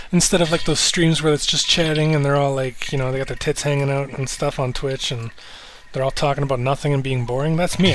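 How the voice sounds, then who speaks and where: A man mumbles at a very fast pace with a slight Canadian accent. Noticeable background noise runs underneath. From Canada. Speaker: live streamer. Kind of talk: casual live stream chat. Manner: mumbling; relaxed, laid-back.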